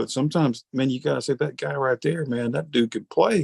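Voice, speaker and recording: The speaker has a strong Southern US accent and a moderate pace. Pitch varies in an ordinary way, and the sound is dry and close with no echo. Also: man. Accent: Southern US, he says thick. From Alabama. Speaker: podcast interviewer. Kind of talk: casual interview. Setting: video call. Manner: animated.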